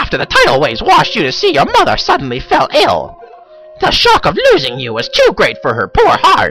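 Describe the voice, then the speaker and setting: Over clear music in the background, someone uses a put-on character voice at an extremely high pitch and a fairly quick pace. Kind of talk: comic overacting. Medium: solo performance. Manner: exaggerated, mock-formal.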